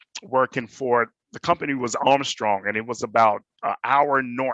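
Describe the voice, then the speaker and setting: Medium in pitch with ordinary variation, a man speaks at a moderate pace. His tone is bright and sharp. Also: dry, close sound with no echo, quiet background. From Jamaica. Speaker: panelist, hospitality manager. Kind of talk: personal testimony on panel.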